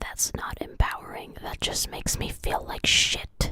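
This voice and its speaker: A woman is whispering. Her pace is moderate. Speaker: video reviewer. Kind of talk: casual commentary review. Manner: soft, ASMR-like. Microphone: mic close to mouth, sounds like ASMR.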